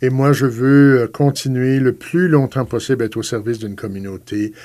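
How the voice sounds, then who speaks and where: On a very clean recording with a silent background, a man with a dark, mellow tone speaks at medium pitch and a moderate pace, with ordinary pitch variation and big swings in loudness. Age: 60s. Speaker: priest. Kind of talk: interview. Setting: radio studio. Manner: hesitant with fillers.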